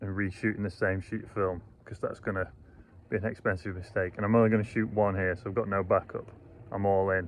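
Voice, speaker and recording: Mumbling in a Yorkshire accent, this speaker moves at a fairly quick pace with monotone, flat intonation. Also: man. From Yorkshire, England. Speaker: landscape photographer. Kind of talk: casual talk to camera. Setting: outdoors. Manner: unpolished, mumbled diction.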